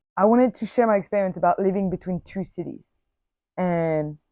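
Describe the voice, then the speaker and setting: With a French accent, a woman speaks in a dark, mellow tone with ordinary pitch variation over a quiet background. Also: dry, close sound with no echo. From Corsica, France. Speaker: podcaster. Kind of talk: casual personal podcast monologue. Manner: casual, many fillers and self-corrections.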